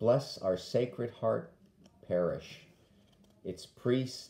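A man with a dark, mellow tone speaks at a very slow pace. His intonation is lively, and the room echo is audible. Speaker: deacon leading prayer. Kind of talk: led morning prayer, with fervent intercessory prayer near 9:30. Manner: solemn, earnest, measured; devout, pleading intensity in petitions. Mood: calm, reverent. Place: home room. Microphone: phone near.

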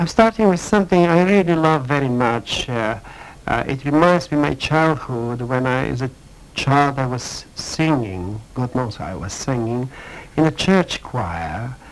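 A man with a Bulgarian accent speaks at a fairly slow pace, his pitch swinging very widely. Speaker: writer and broadcaster. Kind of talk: radio interview answer. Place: studio.

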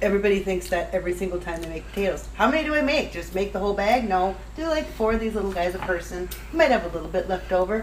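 At a very fast pace with hardly any pauses, a woman's loudness swings widely over light background noise. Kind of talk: cooking tutorial. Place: kitchen. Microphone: camera far.

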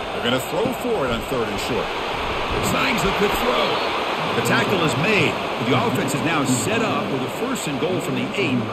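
The speech moves at a moderate pace with long, frequent pauses, set against loud background noise. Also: man. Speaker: play-by-play commentator. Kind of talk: sports play-by-play commentary.

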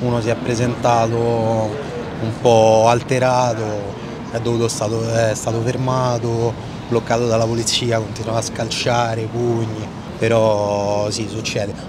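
Noticeable background noise runs under a man's voice. He speaks fairly slowly in a monotone, flat way. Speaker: security guard. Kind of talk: interview answers. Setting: outdoors at a train station. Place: street.

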